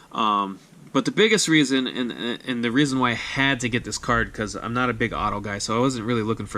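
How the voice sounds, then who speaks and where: Here a man talks at medium pitch with ordinary pitch variation and a bright, sharp tone. His pace is fairly quick. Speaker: sports card collector YouTuber. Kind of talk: casual vlog recap. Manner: fast.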